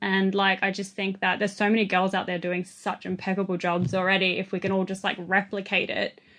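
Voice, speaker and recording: In an Australian accent, the speaker talks fairly quickly with hardly any pauses and flat, monotone intonation over a quiet background. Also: woman, medium pitch for a woman. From Australia, southwest Sydney. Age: 20s. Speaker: vintage clothing seller. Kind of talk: podcast interview.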